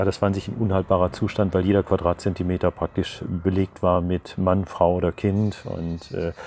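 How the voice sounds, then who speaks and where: Very deep and low in pitch, a man with a dark, mellow tone speaks in a monotone, flat way at a moderate pace over light background noise. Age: 70s. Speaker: retired teacher, sailor and sea rescuer. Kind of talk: interview answer. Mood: calm, reflective, some hesitations. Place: garden. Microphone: lapel.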